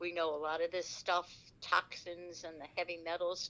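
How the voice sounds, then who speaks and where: A woman speaks at a moderate pace in an American accent. Her fairly low voice has a bright, sharp tone. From US, Washington DC. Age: 70s. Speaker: war veteran. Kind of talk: interview. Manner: halting.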